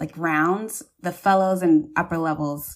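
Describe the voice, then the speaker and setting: A woman with an ordinary speaking voice talks at a fairly low pitch with fairly even intonation, recorded very cleanly against a silent background. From US South, Charleston, South Carolina. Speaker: plastic surgery resident. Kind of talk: interview.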